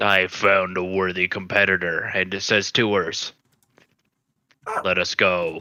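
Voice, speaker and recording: A man speaks in a put-on character voice, raspy and very deep, at a fairly slow pace with long, frequent pauses. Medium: actual play. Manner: formal, stilted.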